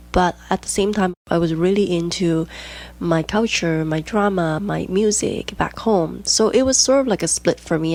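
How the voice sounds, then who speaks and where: A woman with a Chinese accent talks in a fairly low pitch while music plays in the background. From Hong Kong. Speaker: podcast host, diastasis recovery coach. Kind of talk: casual podcast monologue.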